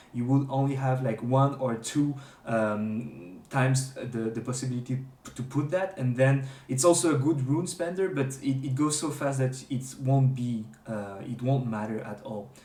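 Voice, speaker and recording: Amid noticeable background noise and audible room echo, a man with a medium pitch speaks at a moderate pace with ordinary pitch variation. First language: not English. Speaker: gaming streamer. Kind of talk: tutorial. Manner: halting, many fillers and restarts; unscripted.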